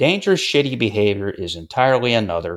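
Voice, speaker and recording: A man with an American accent talks in a plain, everyday voice at medium pitch. His intonation is lively. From upstate New York (Syracuse). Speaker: music podcast host, former music journalist. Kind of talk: casual chat.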